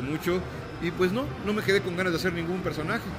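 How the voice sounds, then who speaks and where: A man at a very fast pace, with clear music in the background. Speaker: voice actor. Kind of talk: interview answer. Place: hall.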